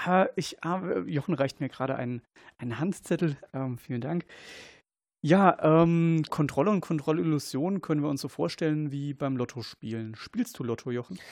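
A man's fairly high voice, lively in intonation and moderate in pace, against a quiet background. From Germany, Kaiserslautern (Palatinate). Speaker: paramedic and researcher. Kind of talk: casual chat. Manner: halting.

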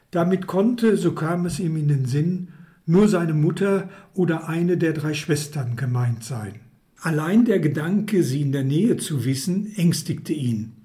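A man's fairly high voice with a dark, mellow tone at a fairly slow pace, amid audible room echo. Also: lively intonation. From Hagen, Ruhr area, Germany. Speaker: author and former publisher. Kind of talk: reading aloud.

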